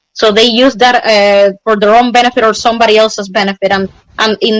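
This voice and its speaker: A woman talks at a fairly quick pace in a fairly high pitch with fairly even intonation. The sound is dry and close, with no echo. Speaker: street interviewee. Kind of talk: casual chat. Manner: fast.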